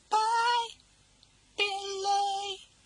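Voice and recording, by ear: A put-on character voice, squeaky and extremely high-pitched, with monotone, flat intonation.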